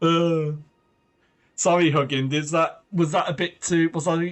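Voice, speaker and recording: A man speaks with an English accent and ordinary pitch variation. Music plays in the background. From Britain. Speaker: streamer. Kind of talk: live gameplay commentary. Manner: animated.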